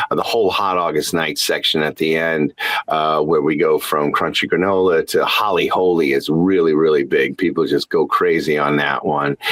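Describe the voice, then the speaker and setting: A man talking with hardly any pauses, over noticeable background noise. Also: moderate pace, very even loudness. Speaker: tribute performer. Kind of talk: interview. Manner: halting, many fillers and repeats.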